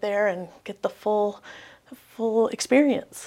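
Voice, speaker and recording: A woman's fairly high-pitched, fairly even voice, a plain, everyday voice, in a very clean recording with a silent background. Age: 40s. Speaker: education professor. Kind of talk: interview.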